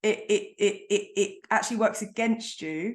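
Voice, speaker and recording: A woman speaks against a quiet background. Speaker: podcast host. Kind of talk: interview. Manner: fast.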